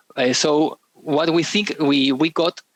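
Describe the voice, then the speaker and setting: A man talks with a non-native accent and ordinary pitch variation. The sound is dry and close, with no echo. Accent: non-native English, understandable. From Argentina. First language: Spanish. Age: 30s. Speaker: game developer. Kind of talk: interview. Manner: halting, many repetitions and fillers.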